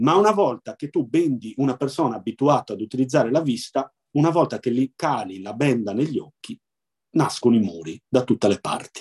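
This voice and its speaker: An ordinary speaking voice, this man's is medium in pitch, with lively intonation at a fairly quick pace and a dry, close sound with no echo. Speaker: blind baseball player and sports club president. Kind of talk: interview.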